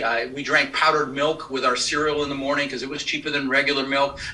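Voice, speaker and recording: At a fairly quick pace, a man talks in a fairly high pitch amid noticeable background noise. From Colorado, US (immigrated from the Netherlands at six). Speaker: real estate investor and trainer. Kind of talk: podcast interview.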